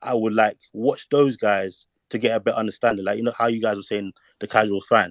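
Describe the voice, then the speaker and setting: In a London accent, a man speaks at a fairly quick pace with a medium pitch. The sound is dry and close, with no echo. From London, England. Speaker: caller in online discussion. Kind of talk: casual discussion. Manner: halting.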